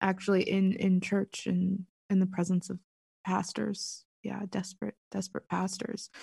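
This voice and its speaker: With an American accent, a woman speaks fairly slowly in a flat monotone. Her tone is dark and mellow, with vocal fry. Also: medium pitch for a woman, dry, close sound with no echo. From US, Pittsburgh. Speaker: author and writer. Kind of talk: casual chat.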